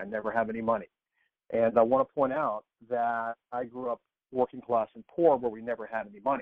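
A man speaks with an American accent in an ordinary speaking voice, at a medium pitch and a fairly quick pace. His loudness swings widely. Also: fairly even intonation. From Texas. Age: 50s. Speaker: personal transformation coach. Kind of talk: interview conversation.

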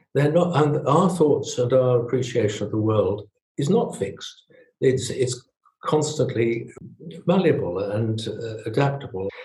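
The man has a southern English accent and a medium pitch. He talks at a fairly slow pace with lively intonation. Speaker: retired family doctor. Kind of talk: interview. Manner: halting.

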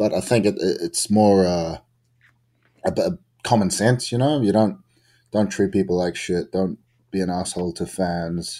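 A man's dark, mellow voice with a New Zealand accent, fairly low pitch and ordinary pitch variation, long, frequent pauses, on a very clean recording with a silent background. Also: moderate pace. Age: 20s. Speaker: pro wrestler. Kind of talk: interview.

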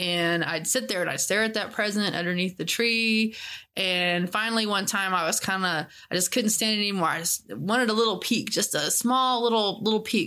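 Her bright, sharp tone sits at a medium pitch as this woman speaks at a moderate pace with ordinary pitch variation and very even loudness, in a very clean recording with a silent background. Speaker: host's wife. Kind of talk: personal storytelling.

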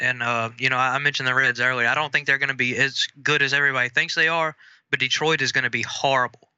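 Fairly even intonation marks this man's speech in a Southern US accent. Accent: Southern US, noticeable. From Mississippi, US South. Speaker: sports betting analyst. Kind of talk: casual chat. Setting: phone call.

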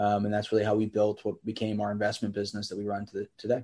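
A man speaks with an American accent at a fairly low pitch. The background is quiet. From Pennsylvania, US. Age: 30s. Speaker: real estate entrepreneur. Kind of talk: interview.

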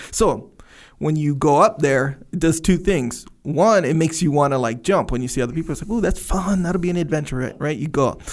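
A man talks in a normal speaking voice, fairly high-pitched with ordinary pitch variation, at a fairly quick pace. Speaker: podcast co-host. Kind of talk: casual chat.

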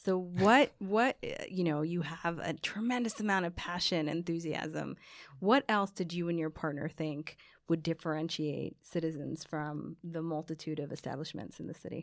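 A woman has a normal speaking voice, fairly low in pitch with ordinary pitch variation. She talks at a moderate pace on a very clean recording with a silent background. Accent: American. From US Northeast, New Jersey. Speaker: podcast co-host. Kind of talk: casual chat.

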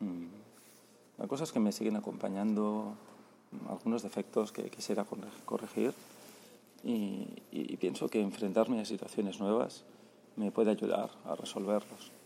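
A man with a fairly low pitch, a dark, mellow tone and vocal fry speaks at a moderate pace with ordinary pitch variation and long, frequent pauses. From Spain, Barcelona. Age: 40s. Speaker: travel podcaster. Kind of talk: voice note diary. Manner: halting, many repetitions.

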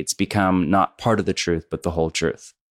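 In a West Coast American accent, a man speaks with ordinary pitch variation. The sound is dry and close with no echo, in a very clean recording with a silent background. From US West Coast, Bay Area. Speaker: pastor and author. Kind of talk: interview.

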